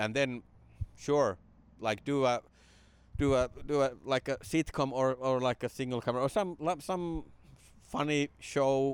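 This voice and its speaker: A man at a medium pitch with a Finnish accent, very even loudness, ordinary pitch variation and a fairly slow pace broken by long, frequent pauses, in a very clean, dry, close recording with a silent background and no echo. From Finland (Jyväskylä). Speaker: stand-up comedian. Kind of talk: casual interview chat. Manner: halting.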